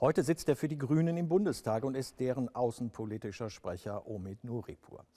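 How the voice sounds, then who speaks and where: A man with a medium pitch speaks at a moderate pace, his dark, mellow tone carrying lively intonation over a quiet background. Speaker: TV interviewer. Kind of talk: interview. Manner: formal.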